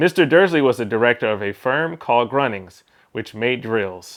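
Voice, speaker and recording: A man with an American accent speaks at a moderate pace in a plain, everyday voice, his medium pitch carried by lively intonation. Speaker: English pronunciation teacher. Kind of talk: read-aloud of a novel for shadowing practice.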